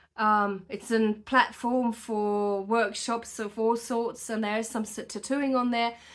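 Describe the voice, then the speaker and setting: In a very clean recording with a silent background, a woman with a non-native accent talks fairly slowly at a fairly high pitch, her pitch varying in an ordinary way. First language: not English. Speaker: hand-poke tattoo artist. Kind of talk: tutorial. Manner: casual, animated; hesitant with fillers.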